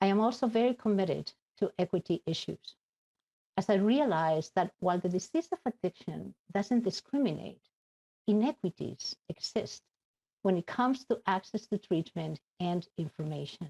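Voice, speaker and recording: A woman speaks at a medium pitch with a Spanish accent and a dark, mellow tone. Her intonation is lively, her pace moderate, and the sound dry and close with no echo. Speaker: addiction advocate. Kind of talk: conference speech.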